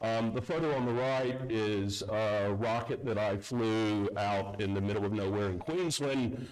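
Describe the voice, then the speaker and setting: A man with an American accent speaks at a fairly low pitch and a fairly slow pace, with hardly any pauses. His loudness stays very even, and audible room echo surrounds him. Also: ordinary pitch variation. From US South, North Carolina. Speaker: security consultant, conference speaker. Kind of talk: conference talk. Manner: halting, many fillers.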